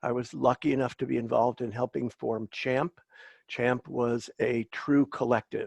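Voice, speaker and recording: A man at a moderate pace, dry and close with no echo, over a quiet background. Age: 60s. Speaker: cannabis activist and entrepreneur. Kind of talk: panel discussion.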